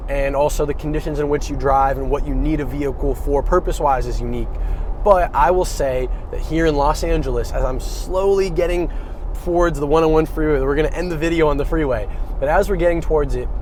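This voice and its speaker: A man speaks at a very fast pace amid noticeable background noise and audible room echo. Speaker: car reviewer. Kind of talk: casual video review while driving. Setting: in a car. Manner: loud.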